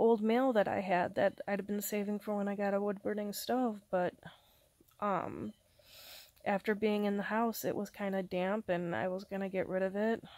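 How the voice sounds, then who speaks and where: On a very clean recording with a silent background, a woman speaks quietly at a moderate pace and medium pitch in a monotone, flat way. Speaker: vlogger. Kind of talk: casual vlog monologue. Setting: alone at home, recording to camera. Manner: halting, hesitant with fillers.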